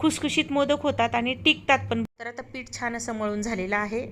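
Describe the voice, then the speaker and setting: Her voice fairly high with vocal fry, a woman talks in fairly even intonation. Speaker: lifestyle vlogger. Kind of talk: vlog narration. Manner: conversational.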